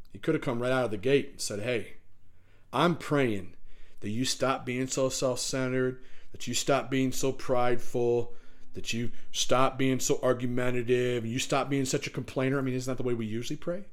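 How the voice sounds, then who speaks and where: The intonation stays fairly even at a moderate pace. The tone is warm. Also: man, medium pitch for a man. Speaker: pastor. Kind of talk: closing pastoral prayer, earnest and thankful, addressing God directly. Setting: recorded church service for online viewers. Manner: fervent, warm, heartfelt pleading tone winding down to a quiet amen; frequent fillers and repeated words, conversational halting delivery.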